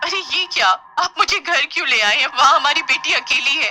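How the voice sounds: Bright and sharp in tone, a cartoonish character voice moves at a moderate pace with lively intonation. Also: woman, high pitch for a woman.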